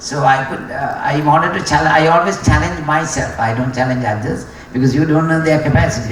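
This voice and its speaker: A man with a Sri Lankan accent at a fairly quick pace, with ordinary pitch variation, audible room echo and noticeable background noise. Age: 60s. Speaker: racing driver. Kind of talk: graduation speech. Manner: hesitant, many fillers.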